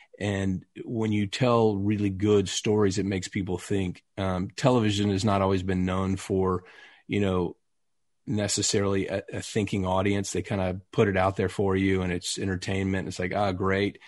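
Against a quiet background, a man with a Texas accent speaks at a moderate pace in a fairly low, monotone, flat voice. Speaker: actor. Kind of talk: casual interview.

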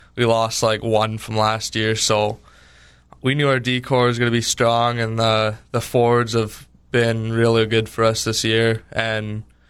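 Speaking with a Canadian Prairie accent, a man talks at a moderate pace and medium pitch in a flat monotone, on a very clean recording with a silent background. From Winkler, Manitoba, Canada. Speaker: junior hockey goalie. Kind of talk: radio interview.

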